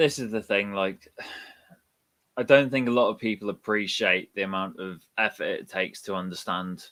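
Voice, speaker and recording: Bright and sharp in tone, this man's voice sits fairly low in pitch. He speaks at a moderate pace. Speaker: crypto community space co-host. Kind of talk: casual chat.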